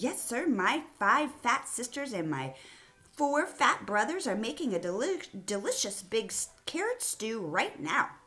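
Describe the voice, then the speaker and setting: A put-on character voice, fairly high in pitch. It is raised and projected. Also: moderate pace. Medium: read story. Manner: eager.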